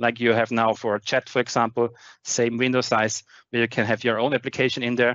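A man with a German accent talks at a fairly quick pace over a quiet background, in a dry sound with no echo. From Austria. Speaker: tech conference speaker; conference speaker. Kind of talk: technical presentation with demo. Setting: online video meeting with screen share. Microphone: headset.

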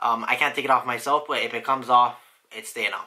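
A man talks at a fairly quick pace in a bright, sharp tone, with a quiet background. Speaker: fitness vlogger; vlogger. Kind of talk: casual vlog. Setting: vlog filmed on the go, then at home. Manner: casual, hesitant with fillers. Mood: upbeat, pleased. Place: home room. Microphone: phone near.

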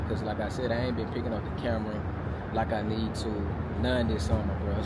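A man races through his speech at a very fast pace amid loud background noise. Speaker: vlogger. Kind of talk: casual vlog chat. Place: street. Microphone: lapel.

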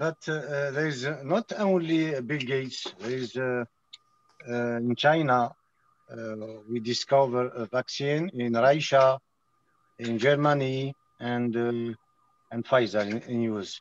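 A man talks at a very slow pace, leaving long, frequent pauses. The sound is dry, with no echo. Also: ordinary pitch variation. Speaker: medical doctor. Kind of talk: casual video-call conversation. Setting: video call. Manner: halting. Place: shop. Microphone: phone near.

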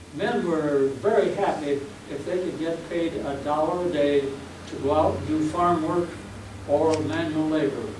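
An American accent at a fairly slow pace with ordinary pitch variation, amid noticeable background noise and audible room echo. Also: man, fairly high pitch for a man. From Bremen, Indiana. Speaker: elderly local resident recalling history. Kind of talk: oral history interview answer. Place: meeting room.

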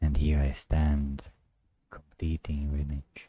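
A man speaks very slowly in a very deep, low voice with a dark, mellow tone, an intense tone and monotone, flat intonation. He sounds somewhat breathy, and the sound is dry with no echo. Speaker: poet. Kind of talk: spoken word poetry, confessional and despairing. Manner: brooding, intense, darkly introspective; repetitive, incantatory, building in emphasis. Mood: brooding, dramatic. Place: home room. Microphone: studio mic.

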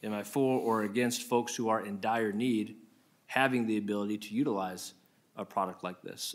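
With an American accent, a man speaks in a fairly low voice. His pace is fairly quick and his intonation fairly even. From Iowa. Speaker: state senator. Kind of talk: committee hearing questioning. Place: hall. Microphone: podium.

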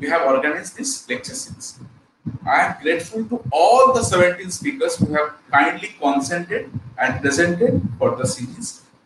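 A man's high-pitched voice at a moderate pace, with noticeable background noise. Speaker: college lecturer. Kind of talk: lecture. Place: home room.

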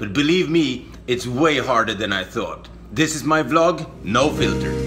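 A man talks at a fairly slow pace while clear music plays behind him. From Sweden. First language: Swedish. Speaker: stand-up comedian. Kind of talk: casual vlog talk to camera. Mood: wry, self-mocking. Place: home room. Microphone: phone near.

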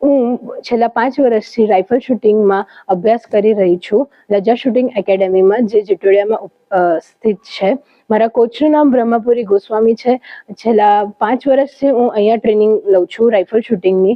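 A woman's ordinary speaking voice, fairly high in pitch, with very even loudness and fairly even intonation. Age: 20s. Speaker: athlete (rifle shooter), student. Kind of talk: interview statement.

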